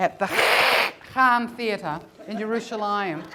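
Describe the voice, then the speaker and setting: Very slow speech from a woman, noticeable background noise behind it. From New Zealand. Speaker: comedian and storyteller. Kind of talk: live comedy storytelling performance. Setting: live stage.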